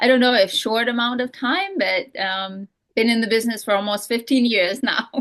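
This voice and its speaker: A woman speaks with a Romanian accent at a moderate pace. Her pitch is fairly high, with ordinary variation. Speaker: real estate broker and coach. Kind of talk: podcast interview. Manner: halting, many fillers.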